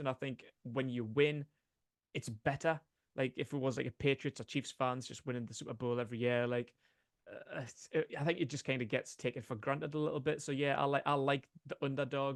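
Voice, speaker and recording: Dry, close sound with no echo captures speech at a fairly quick pace with fairly even intonation. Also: man. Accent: Geordie. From northeast England, Newcastle. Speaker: sports podcaster. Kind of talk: podcast interview. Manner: hesitant, many fillers.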